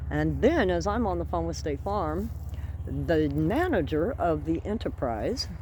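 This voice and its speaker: Moderately paced speech from a woman amid audible room echo. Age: 60s. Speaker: homesteading vlogger. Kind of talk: casual vlog storytelling. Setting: outdoors among plants. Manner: animated.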